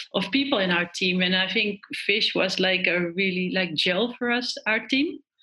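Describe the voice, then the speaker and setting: A woman speaks at a fairly slow pace and medium pitch. Her tone is bright and sharp. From Netherlands. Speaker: professional sailor, Olympian. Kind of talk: interview. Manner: halting, many fillers.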